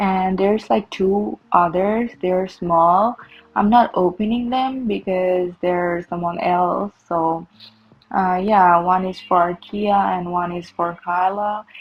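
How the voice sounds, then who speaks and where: This woman talks at a very slow pace with ordinary pitch variation, and noticeable background noise can be heard. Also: medium pitch for a woman. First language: Bengali. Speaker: vlogger. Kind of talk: casual vlog narration. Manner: hesitant, with fillers.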